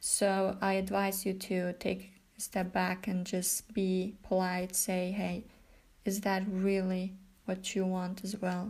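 A woman's medium-pitched, somewhat breathy voice with a non-native accent, monotone and flat, at a very slow pace on a very clean recording with a silent background. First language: not English. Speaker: self-help podcaster. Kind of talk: solo monologue talk. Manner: laughs often; hesitant, many fillers.

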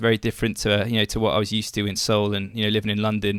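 A man with an English accent and a fairly low pitch speaks in a bright, sharp tone, captured in a very clean recording with a silent background. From England. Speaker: baseball social media personality. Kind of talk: interview.

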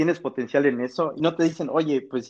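Against a quiet background, a man speaks at a fairly high pitch with ordinary pitch variation. He has a plain, everyday voice. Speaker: university student. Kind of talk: casual chat.

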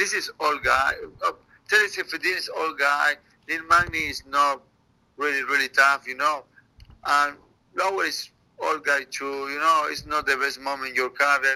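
Speaking in a Spanish accent at a moderate pace, a man with a fairly high pitch keeps a fairly even intonation and takes long, frequent pauses. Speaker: MMA fighter. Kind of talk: interview. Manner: halting, broken English.

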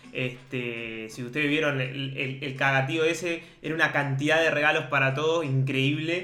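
A man with a Rioplatense accent at a fairly high pitch, moderate pace, hardly any pauses and fairly even intonation, with audible room echo and noticeable background noise. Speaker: podcast co-host. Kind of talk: casual chat.

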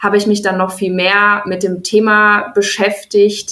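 Very slowly, a woman speaks at a medium pitch in a bright, sharp tone. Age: 20s. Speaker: founder of a natural cosmetics company. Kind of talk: interview. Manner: hesitant with frequent fillers.

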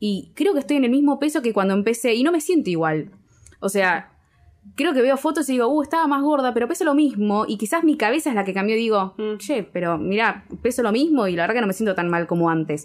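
A woman speaks very fast with a Rioplatense accent, a fairly high pitch and very wide pitch swings. Her loudness stays very even, and the recording is very clean with a silent background. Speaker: podcast co-host. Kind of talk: casual chat.

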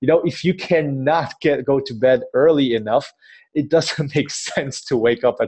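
In a plain, everyday voice, a man talks at a fairly high pitch with ordinary pitch variation. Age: 30s. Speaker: fitness entrepreneur and personal trainer. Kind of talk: interview.

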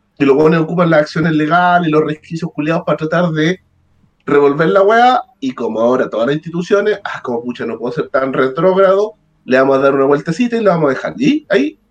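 This man has a Chilean accent. He talks at a very fast pace. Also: fairly high pitch for a man, lively intonation. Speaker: lawyer. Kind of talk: casual chat.

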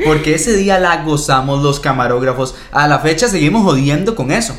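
A man's fairly high voice at a moderate pace, with lively intonation, audible room echo and noticeable background noise. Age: 20s. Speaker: podcast co-host. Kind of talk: casual chat.

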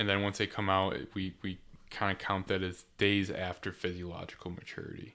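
In a very clean recording with a silent background, a man with an American accent speaks fairly quickly in a very deep, low pitch with monotone, flat intonation. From western New York. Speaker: barley researcher. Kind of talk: casual chat.

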